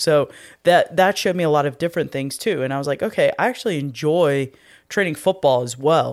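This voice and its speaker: On a very clean recording with a silent background, a woman with an American accent speaks at a fairly quick pace in a very deep, low pitch with ordinary pitch variation. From US South, North Carolina. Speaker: sports performance coach. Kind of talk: casual interview.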